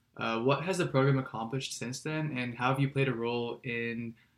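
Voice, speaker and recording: At a fairly quick pace, a man with a medium pitch talks in a normal speaking voice. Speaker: podcast co-host, engineering student. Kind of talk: interview.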